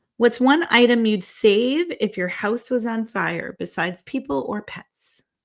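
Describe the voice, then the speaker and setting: Recorded very cleanly against a silent background, a woman with vocal fry speaks at a fairly slow pace and a fairly high pitch, with lively intonation, big swings in loudness, and hardly any pauses. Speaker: podcast co-host, author. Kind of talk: casual chat.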